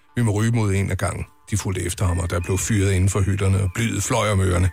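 A man talks while music plays in the background. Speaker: radio host. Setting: studio. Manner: animated, playful, mock-dramatic storytelling delivery.

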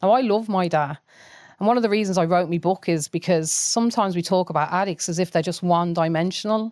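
Her medium-pitched voice moves at a very fast pace with ordinary pitch variation and very even loudness, the woman's sound dry and close with no echo. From Coventry, England, Irish family. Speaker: author and university lecturer. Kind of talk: casual chat.

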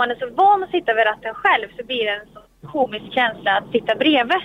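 A woman speaks at a moderate pace and a fairly high pitch. Her intonation is lively. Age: 20s. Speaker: racing driver and driving instructor. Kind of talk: interview. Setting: in a car.

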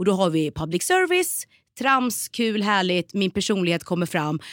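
Here is an ordinary speaking voice: a woman at a moderate pace and medium pitch with ordinary pitch variation, in a dry, close sound with no echo. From Sweden, Norrköping (Östergötland). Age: 30s. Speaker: TV presenter and actress. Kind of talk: casual interview.

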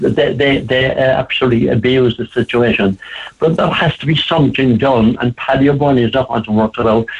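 A man with an Irish accent speaks at a fairly quick pace in a medium pitch. Noticeable background noise runs behind him. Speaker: advocate for elderly people. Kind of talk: radio interview. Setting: phone call.

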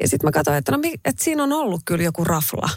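A woman speaks with a fairly low pitch and vocal fry. Her pitch swings very widely. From Finland, Raahe (northern Ostrobothnia). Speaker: radio host and restaurant owner. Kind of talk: interview.

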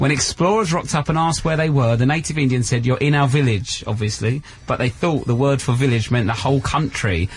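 Very fast, nearly pauseless speech at very even loudness, with ordinary pitch variation over noticeable background noise. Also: man, medium pitch for a man. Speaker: radio host. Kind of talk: live radio chat. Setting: radio studio at a festival. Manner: animated, laughing.

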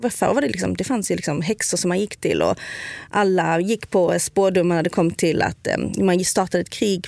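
A woman with vocal fry speaks at medium pitch and a moderate pace, her pitch varying in an ordinary way. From southern Sweden (Skåne). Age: 30s. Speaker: food influencer and medium. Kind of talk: casual chat. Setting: studio.

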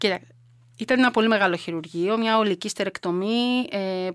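Recorded very cleanly with a silent background and a dry, close sound with no echo, a woman with a normal speaking voice talks at a moderate pace with ordinary pitch variation. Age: 50s. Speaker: triathlete and lifeguard volunteer. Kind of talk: interview.

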